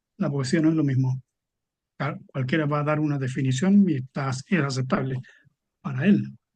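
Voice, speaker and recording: Here a man speaks at a moderate pace in a fairly high pitch. His voice is somewhat breathy. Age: 70s. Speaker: poet. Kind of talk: interview. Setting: book fair event.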